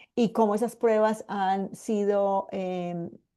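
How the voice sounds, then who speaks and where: A woman with a paisa accent has a dark, mellow tone against a quiet background. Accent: paisa (Medellín). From Colombia, Medellín. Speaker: medical geneticist, cancer survivor. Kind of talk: online lecture. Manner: hesitant, many fillers.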